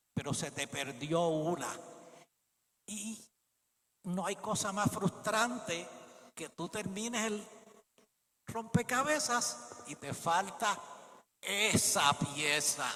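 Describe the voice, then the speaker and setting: Using a raised, projected voice at a high pitch, a man speaks very slowly, with very wide pitch swings and long, frequent pauses. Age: 70s. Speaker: preacher. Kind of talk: sermon.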